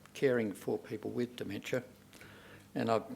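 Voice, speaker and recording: A man's fairly low voice with a rural Australian accent. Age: 70s. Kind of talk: personal testimony speech. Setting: stage with audience. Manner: halting, many fillers.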